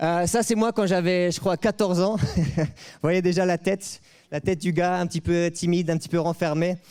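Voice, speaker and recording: A man's high-pitched voice, fairly even in intonation, at a moderate pace, on a very clean recording with a silent background. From France. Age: 30s. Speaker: preacher, leader of a mission organization. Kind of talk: sermon. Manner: hesitant, many fillers; informal, interactive.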